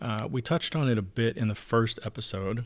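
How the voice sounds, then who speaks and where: On a very clean recording with a silent background, a man speaks quietly at a moderate pace with fairly even intonation. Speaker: podcast host. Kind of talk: solo podcast monologue. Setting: home recording. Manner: hushed; monotone.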